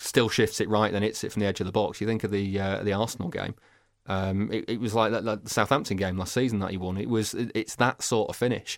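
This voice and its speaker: Delivered at a very fast pace with fairly even intonation, the speech comes through on a very clean recording against a silent background. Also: man, fairly low pitch for a man. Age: 30s. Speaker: football broadcaster and podcaster. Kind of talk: casual chat. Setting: studio. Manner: halting.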